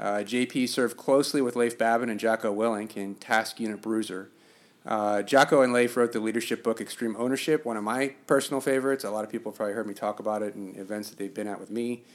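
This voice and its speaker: Speech comes very fast with fairly even intonation but big swings in loudness. The recording is very clean, the background silent. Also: man, medium pitch for a man. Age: 40s. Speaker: podcast host. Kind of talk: interview conversation.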